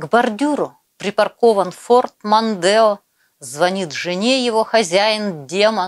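A woman talks very slowly with ordinary pitch movement, and the background is quiet. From Siberia, Krasnoyarsk region; Siberia, Russia. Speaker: poet. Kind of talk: poetry reading. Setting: video call. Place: home room. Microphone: lapel.

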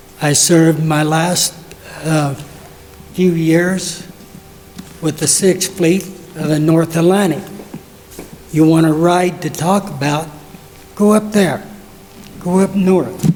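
With audible room echo and noticeable background noise, a man with a high pitch and an American accent talks at a very slow pace, with fairly even intonation and long, frequent pauses. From southwest Colorado. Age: 80s+. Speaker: war veteran. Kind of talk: public comment. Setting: council meeting.

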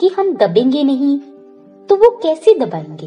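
A woman talks while music plays behind her. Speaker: motivational speaker. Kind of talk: motivational speech.

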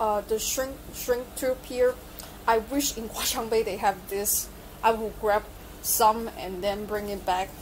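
This is a woman speaking. Light background noise can be heard. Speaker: electronics hobby vlogger. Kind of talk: casual vlog chat. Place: shop. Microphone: phone near.

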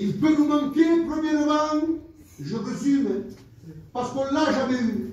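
A man's rather unhurried speech comes through noticeable background noise. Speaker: preacher. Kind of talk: sermon in church, preaching with scripture quotes and calls to the congregation. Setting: church with congregation. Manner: fervent, exhortative, pleading tone, repeating phrases for emphasis; halting, stopping and restarting sentences mid-thought.

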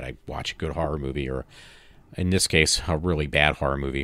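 A man speaks at a fairly quick pace. Vocal fry runs through his voice. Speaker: podcast host. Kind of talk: casual monologue.

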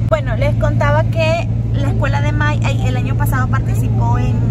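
A woman talks at a moderate pace over loud background noise. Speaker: family vlogger. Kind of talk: casual vlog chat. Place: car. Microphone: phone near.

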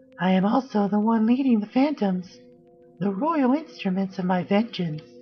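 A female-sounding put-on character voice at medium pitch moves at a moderate pace over clear music in the background. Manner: vengeful, theatrical.

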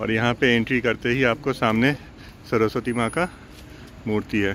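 Over light background noise and in a dry sound with no echo, a man speaks at a fairly slow pace with fairly even intonation. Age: 30s. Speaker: law student and vlogger; vlogger. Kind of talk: casual vlog talk to camera. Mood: reflective, nostalgic. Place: open country. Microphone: phone near.

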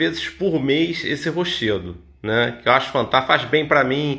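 A man speaks with a bright, sharp tone and vocal fry. His intonation is lively against a quiet background. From Niterói, Rio de Janeiro state, Brazil; Rio de Janeiro state, Brazil. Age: 50s. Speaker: massage therapist; massage therapist vlogger. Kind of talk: motivational talk. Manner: casual, conversational. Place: home room. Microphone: phone near.

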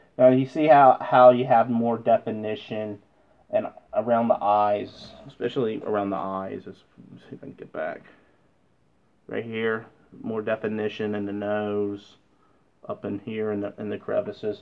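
A man with a fairly low pitch speaks at a moderate pace with fairly even intonation. His loudness swings widely, and his pauses are long and frequent. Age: 40s. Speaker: model painting youtuber. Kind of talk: tutorial. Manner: halting, repetitive. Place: workshop. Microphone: camera far.

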